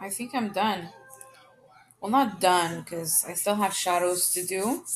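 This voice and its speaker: Over music in the background, a woman speaks at a fairly slow pace with a medium pitch. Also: ordinary pitch variation. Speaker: video tutorial maker. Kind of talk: tutorial. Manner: soft-spoken.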